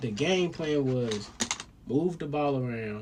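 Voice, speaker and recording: A man speaks at a medium pitch in an animated tone, his pitch swinging very widely. His pace is fairly slow. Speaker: solo vlogger rambling to himself. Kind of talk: casual monologue. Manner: whispering.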